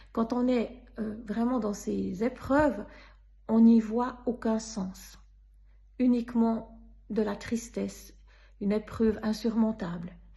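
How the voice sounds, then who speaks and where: Her voice is fairly high yet dark and mellow, somewhat breathy, with monotone, flat intonation. This woman speaks at a very slow pace. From Switzerland. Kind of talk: personal faith testimony.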